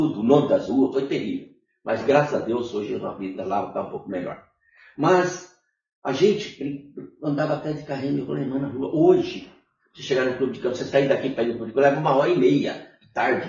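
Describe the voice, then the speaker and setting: Fairly quick delivery with vocal fry and big swings in loudness. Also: man, fairly high pitch for a man. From northern Paraná, Brazil. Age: 70s. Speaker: former city councillor and union activist. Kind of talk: interview. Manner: animated.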